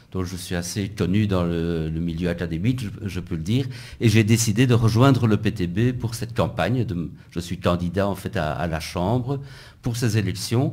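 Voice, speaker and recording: A man with a dark, mellow tone speaks at a moderate pace, with audible room echo. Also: fairly low pitch for a man, ordinary pitch variation. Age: 60s. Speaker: physics professor and election candidate. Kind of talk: radio interview. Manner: halting, with repetitions.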